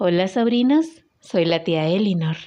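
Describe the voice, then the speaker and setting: A woman's dark, mellow tone at medium pitch, with lively intonation, a moderate pace and a quiet background. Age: 30s. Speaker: book club participant, reader. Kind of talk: prepared self-introduction. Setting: WhatsApp voice message.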